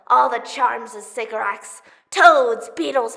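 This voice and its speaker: In a put-on character voice, a female-sounding speaker talks at a fairly slow pace with fairly high pitch and a clear echo. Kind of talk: theatrical monologue, audition style.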